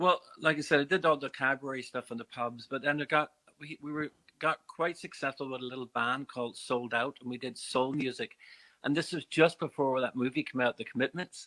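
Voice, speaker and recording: Here a man talks at a fairly quick pace with a fairly high pitch. The sound is dry and close with no echo, and his intonation is fairly even. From Northern Ireland, Belfast; later Bray, Ireland. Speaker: musician. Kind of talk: radio interview.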